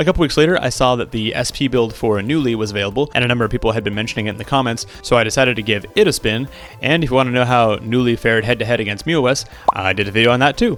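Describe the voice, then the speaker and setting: A man at a very fast pace, medium pitch with ordinary variation, music in the background. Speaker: tech YouTuber. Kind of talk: scripted review.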